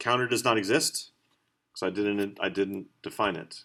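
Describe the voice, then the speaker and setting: A man's voice sits at a fairly low pitch and carries a bright, sharp tone. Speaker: college instructor. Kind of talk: lecture. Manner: fast; halting.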